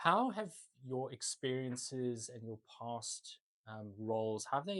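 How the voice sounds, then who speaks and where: A man with a South African accent and ordinary pitch variation, in a dry, close sound with no echo. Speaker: podcast host. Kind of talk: podcast interview.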